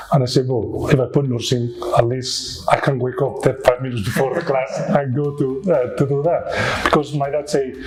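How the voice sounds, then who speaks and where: With a Spanish accent and a fairly high pitch, a man speaks at a moderate pace with fairly even intonation and hardly any pauses, over noticeable background noise. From Spain, Barcelona. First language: Spanish or Catalan. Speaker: nurse. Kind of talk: interview. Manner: hesitant, many fillers.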